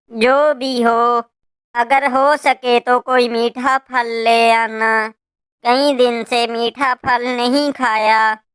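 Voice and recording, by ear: In a very clean recording with a silent background, a female-sounding cartoonish character voice speaks very slowly at a high pitch with a monotone, flat intonation.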